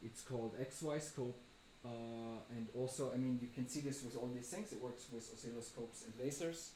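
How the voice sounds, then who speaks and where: A man with a medium pitch is heard with audible room echo. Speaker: programmer and artist giving a lecture. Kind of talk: lecture.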